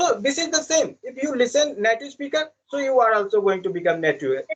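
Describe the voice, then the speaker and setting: In an Indian accent, a man talks at a fairly quick pace with an extremely high pitch and very wide pitch swings. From India, village. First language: Indian language. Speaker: English learner. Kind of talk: casual chat. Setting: video call. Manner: halting.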